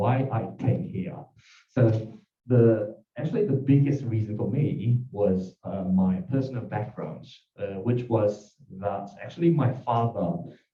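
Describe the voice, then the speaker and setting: With music in the background, a man with a Japanese accent speaks very slowly at medium pitch with ordinary pitch variation. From Japan, Tokyo. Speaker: lawyer. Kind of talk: self-introduction pitch. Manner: halting.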